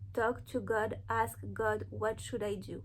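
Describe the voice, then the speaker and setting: With a non-native accent, a woman speaks at a fairly slow pace. Room echo is audible. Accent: foreign accent, noticeable. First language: not English. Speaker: spiritual content creator. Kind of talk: inspirational monologue to camera. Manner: earnest, conversational.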